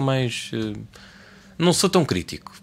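A man speaks with lively intonation in a European Portuguese accent. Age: 20s. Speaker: podcast co-host. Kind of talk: casual chat.

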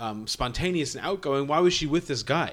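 A man with a plain, everyday voice speaks at a moderate pace and fairly high pitch, with ordinary pitch variation. The recording is very clean, with a silent background. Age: 30s. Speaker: film podcast co-host. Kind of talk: casual chat.

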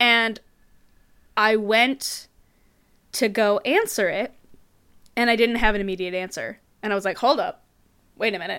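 A woman speaks with a bright, sharp tone at a fairly high pitch, with ordinary pitch variation and long, frequent pauses. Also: moderate pace. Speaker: podcaster. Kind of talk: casual chat. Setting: remote call.

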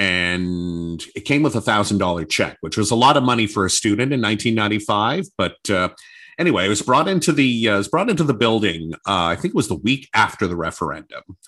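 A man with a Canadian accent talks at a very fast pace in a fairly low pitch, his intonation lively. His tone is bright and sharp against a quiet background. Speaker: former radio news reporter and anchor. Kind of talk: interview conversation.

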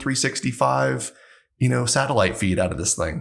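A man talks at a fairly quick pace with vocal fry and ordinary pitch variation. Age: 30s. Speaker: chief security officer. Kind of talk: casual interview.

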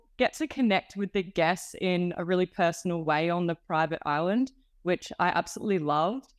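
At a moderate pace, a woman with an Australian accent speaks with lively intonation in a dry, close recording that has no echo and a very clean, silent background. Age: 20s. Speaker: hospitality graduate. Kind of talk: casual interview.

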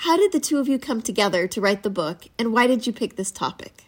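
The woman has an ordinary speaking voice at a fairly high pitch. Her intonation is lively. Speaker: podcast host. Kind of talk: interview. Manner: scripted, clear.

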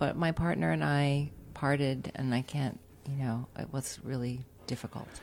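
Using ordinary pitch variation, a woman with an American accent speaks at a moderate pace in a very deep, low pitch. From California. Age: 50s. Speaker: marketing professional. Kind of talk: casual chat.

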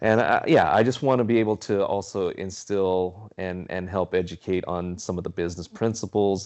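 A man speaks with a very deep, low pitch. He has a Southern Californian accent. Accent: Southern California American. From Carson, Los Angeles area, California. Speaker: DJ and former radio DJ. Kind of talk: casual interview chat.

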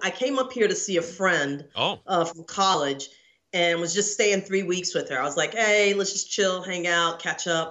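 A woman's plain, everyday voice with an American accent, medium pitch, ordinary pitch variation and a moderate pace. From Texas, Houston area. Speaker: screenwriter and actor. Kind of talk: interview.

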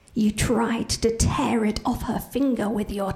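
Over music in the background, a woman talks at a high pitch. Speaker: professional storyteller. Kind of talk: live oral telling of a chilling traditional folktale, ghost-story style. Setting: stage with live audience. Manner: slow, suspenseful build with hushed, repeated phrases; vivid, dramatic delivery voicing characters' dialogue.

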